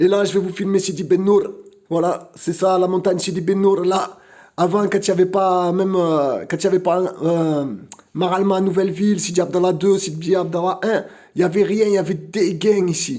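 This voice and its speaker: A man with a high pitch and a dark, mellow tone speaks at a moderate pace in a monotone, flat intonation. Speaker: vlogger. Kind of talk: casual live vlog. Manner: halting, repeats words.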